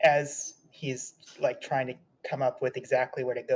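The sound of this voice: The words come in an unforced reading voice.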